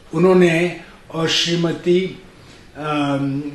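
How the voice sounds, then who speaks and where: A man's fairly high voice with fairly even intonation, plus audible room echo and noticeable background noise. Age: 70s. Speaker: poet and retired NGO executive. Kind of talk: interview.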